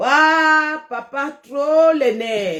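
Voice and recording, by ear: A woman speaks in a high pitch with a fairly bright tone. Her intonation is lively and her pace very slow.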